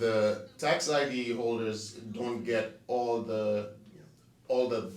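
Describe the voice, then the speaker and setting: In a room with audible echo, a man speaks at a very slow pace in a monotone, flat intonation. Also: medium pitch for a man. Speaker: real estate agent. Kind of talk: casual interview chat. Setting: studio.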